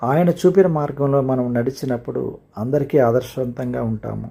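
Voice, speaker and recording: The man's voice is somewhat breathy, with a dark, mellow tone. It sits at a medium pitch and varies in an ordinary way. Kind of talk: motivational speech, Christmas greeting message.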